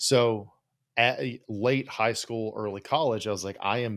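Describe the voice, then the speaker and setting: The very clean recording, silent in the background, captures a man with an American accent speaking at a moderate pace and fairly low pitch. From West Virginia, Appalachia. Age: 30s. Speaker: psychologist and podcast host. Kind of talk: casual interview chat. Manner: casual, profane, filler-heavy.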